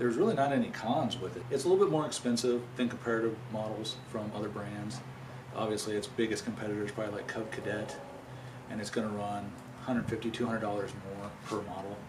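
A man with fairly low pitch speaking at a very fast pace over noticeable background noise. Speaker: new owner reviewing his lawn tractor. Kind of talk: product review. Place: garage. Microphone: camera far.

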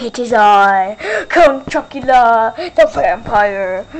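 Using a put-on character voice, a woman speaks at a fairly high pitch and a very slow pace. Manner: theatrical, weird vampire voice.

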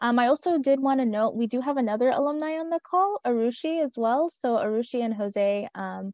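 The speaker uses lively intonation at a moderate pace, the sound dry with no echo and the background quiet. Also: woman. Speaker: program manager. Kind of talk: webinar Q&A. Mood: friendly, smiling. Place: home room. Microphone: earbuds.

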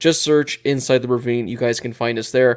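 A man's monotone, flat delivery against a quiet background. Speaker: podcast host. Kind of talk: sports podcast commentary. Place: home room. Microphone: studio mic.

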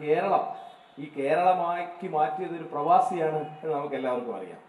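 A man is talking with audible room echo. Light background noise is present. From Kerala. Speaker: poet. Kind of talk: public speech. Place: stage.

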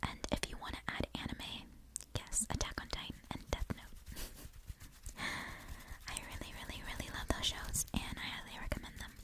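The speech is whispered, at a moderate pace. Clear background noise accompanies it. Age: 20s. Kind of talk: ASMR whisper ramble.

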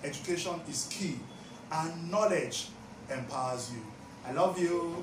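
Noticeable background noise surrounds a man speaking at high pitch. His pitch varies in an ordinary way. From Nigeria. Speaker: YouTube commentator. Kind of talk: news story narration. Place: home room.

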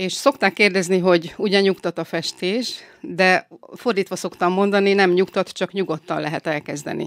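An unremarkable speaking voice from a woman at medium pitch and a moderate pace, with ordinary pitch variation, a dry, close sound with no echo, and a very clean recording with a silent background. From northern Hungary, Salgótarján area. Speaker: violinist and glass painter. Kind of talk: interview. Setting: studio.

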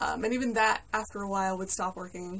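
Her voice is somewhat breathy and fairly quick. The woman's pitch shifts in an ordinary way. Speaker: collector vlogger. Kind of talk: casual vlog chat. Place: home room. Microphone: phone near.

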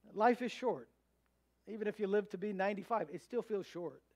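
High-pitched male speech at a moderate pace over a quiet background. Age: 30s. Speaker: pastor. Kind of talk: sermon. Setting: church. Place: church.

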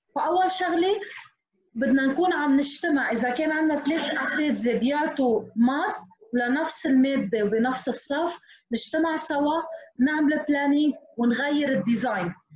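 Lively intonation marks a woman's high-pitched voice. The background is quiet, with audible room echo. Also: fairly slow pace, very even loudness. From Lebanon. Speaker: teacher. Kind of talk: webinar tutorial. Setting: video call. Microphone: video call.

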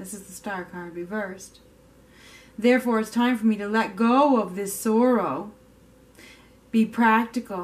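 Her voice sits fairly high for a woman, moving at a fairly slow pace with long, frequent pauses, ordinary pitch variation and big swings in loudness. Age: 40s. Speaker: tarot reader. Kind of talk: tarot reading monologue. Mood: calm, gentle, reflective. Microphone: camera far.

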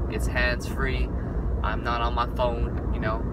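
A man is heard in a dry recording with no echo. Loud background noise sits behind him. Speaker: vlogger. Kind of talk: casual vlog chat. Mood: wistful, a bit sad. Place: car. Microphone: phone near.

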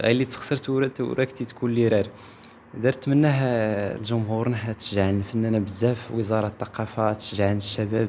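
Light background noise runs behind a man as he talks. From southern Morocco, Guelmim region; southern Morocco. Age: 20s. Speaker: Amazigh singer and actor; actor. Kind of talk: interview testimony. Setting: event in Agadir. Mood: friendly, grateful. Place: home room. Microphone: handheld.

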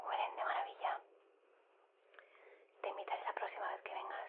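A woman whispers at a moderate pace in a gentle tone. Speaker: ASMR creator in phone-call roleplay. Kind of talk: ASMR phone-call style talk, caring and encouraging. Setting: home, kitchen sounds. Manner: soft-spoken, gentle, reassuring.

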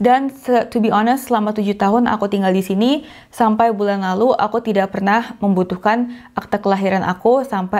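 Fairly even in intonation, a woman speaks at a very fast pace. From Indonesia. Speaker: YouTuber, expat vlogger. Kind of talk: casual tutorial vlog. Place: home room. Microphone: lapel.

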